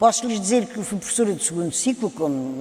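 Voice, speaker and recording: Noticeable background noise sits behind the speech. A woman talks very fast at a fairly high pitch. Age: 70s. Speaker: children's book author. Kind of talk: panel talk.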